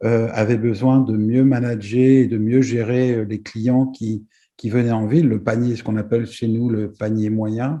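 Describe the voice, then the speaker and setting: A man of medium pitch talks at a moderate pace in a dark, mellow tone with fairly even intonation. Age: 60s. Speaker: business executive. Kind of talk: presentation. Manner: halting, many hesitations.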